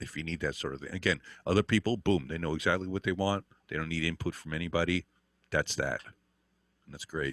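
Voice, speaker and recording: A man speaks very fast in a very deep, low voice with vocal fry, ordinary pitch variation and big swings in loudness, breaking often into long pauses, on a very clean recording with a silent background and a dry, close sound with no echo. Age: 60s. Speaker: guitar teacher. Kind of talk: interview. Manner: halting.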